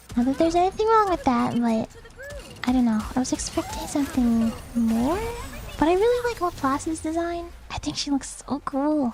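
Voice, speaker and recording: A high-pitched woman's voice with very wide pitch swings, a moderate pace and noticeable background noise. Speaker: gaming streamer. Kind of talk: casual live stream chat while gaming. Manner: casual, hesitant with fillers.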